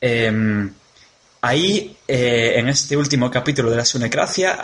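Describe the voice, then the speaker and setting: A man's medium-pitched voice with a Galician accent amid noticeable background noise. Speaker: podcaster. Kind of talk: recorded audio message.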